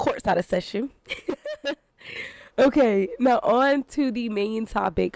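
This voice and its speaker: A fairly high-pitched woman's voice, very slow, with long, frequent pauses and ordinary pitch variation. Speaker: podcast host. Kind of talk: casual podcast talk to camera. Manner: chatty, humorous.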